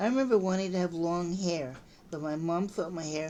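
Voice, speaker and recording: Speaking in an American accent, a woman has a fairly low pitch. Her pitch varies in an ordinary way, and her pace is moderate. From US West Coast, San Francisco. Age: 60s. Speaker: memoir storyteller. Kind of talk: reading aloud. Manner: talkative.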